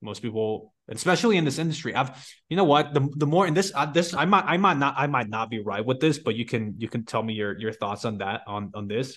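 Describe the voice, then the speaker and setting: Over a quiet background, a plain, everyday voice moves at a fairly quick pace with lively intonation and hardly any pauses. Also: man, medium pitch for a man. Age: 20s. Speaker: podcast host. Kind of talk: interview.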